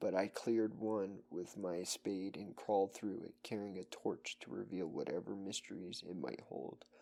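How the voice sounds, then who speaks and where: A soft-spoken man talks at a fairly slow pace in a fairly low voice with ordinary pitch variation. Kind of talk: horror story reading.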